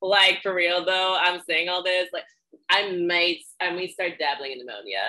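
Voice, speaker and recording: This woman has an unremarkable speaking voice at medium pitch. She keeps a moderate pace and fairly even intonation. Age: 20s. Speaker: podcast host and powerlifting coach. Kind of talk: casual interview chat.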